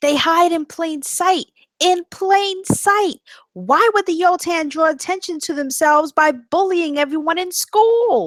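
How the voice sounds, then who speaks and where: An extremely high-pitched, female-sounding put-on character voice at a fairly slow pace. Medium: stage play.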